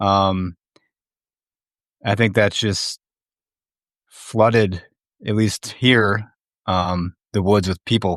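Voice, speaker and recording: A man speaks very slowly at a fairly low pitch, his intonation monotone and flat, with long, frequent pauses. The sound is dry and close with no echo, over a quiet background. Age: 40s. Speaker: hunter. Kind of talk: casual chat. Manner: halting.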